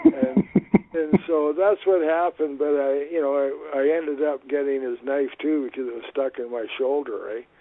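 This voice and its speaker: A man with a Canadian accent and a fairly high pitch talks at a moderate pace with fairly even intonation over noticeable background noise. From Canada, Vancouver. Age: 70s. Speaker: retired reverend. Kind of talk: podcast interview. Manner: halting.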